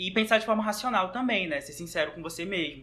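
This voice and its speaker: A man speaks with ordinary pitch variation. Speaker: guest, university student. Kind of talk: casual chat.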